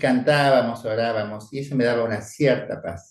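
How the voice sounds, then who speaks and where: The man's voice has a somewhat breathy quality. He speaks fairly slowly. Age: 70s. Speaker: priest. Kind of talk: spiritual teaching talk. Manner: conversational.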